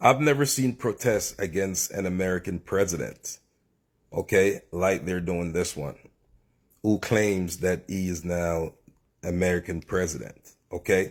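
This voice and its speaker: This man has a very deep, low pitch and an animated tone, with ordinary pitch variation at a fairly slow pace. The recording is very clean, with a silent background. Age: 50s. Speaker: reaction video commentator. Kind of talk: casual commentary.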